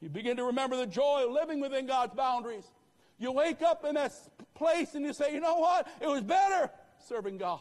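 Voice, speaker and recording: Extremely high-pitched for a man, this animated voice uses lively intonation amid noticeable background noise. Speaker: pastor. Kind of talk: rousing revival sermon, call-and-response exhortation to the congregation. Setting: church with live congregation. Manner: punchy, staccato commands hammered in short repeated bursts; animated, fervent, repeatedly urging the crowd to answer amen.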